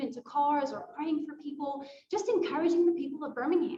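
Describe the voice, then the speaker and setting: With a South African accent, a woman talks at a fairly quick pace in a high pitch and fairly even intonation, with audible room echo. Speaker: nonprofit staff member. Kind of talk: presentation at a volunteer fair. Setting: library event at a podium.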